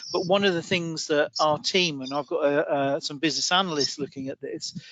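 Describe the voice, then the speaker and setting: With a British accent, a man talks at a fairly quick pace and fairly high pitch, his intonation fairly even, amid noticeable background noise. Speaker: IT manager at a recruitment firm. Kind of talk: panel discussion.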